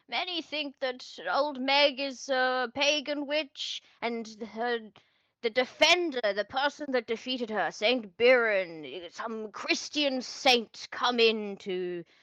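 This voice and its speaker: A woman puts on a character voice, high in pitch, with lively intonation. She goes at a fairly slow pace. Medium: actual play.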